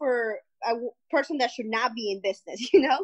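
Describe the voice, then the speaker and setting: With a Spanish accent, a woman speaks at a high pitch and a moderate pace. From Guatemala. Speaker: entrepreneur. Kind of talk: interview.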